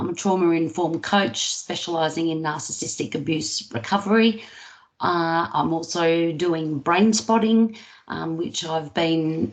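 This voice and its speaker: Someone with an Australian accent talks at a moderate pace. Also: woman. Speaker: therapist. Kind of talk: interview.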